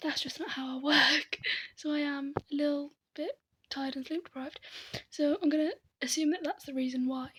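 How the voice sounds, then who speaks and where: Whispering with a British accent, a woman goes at a fairly quick pace but leaves long, frequent pauses. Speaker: vlogger. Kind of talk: casual vlog monologue. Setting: in her room. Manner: half whispering.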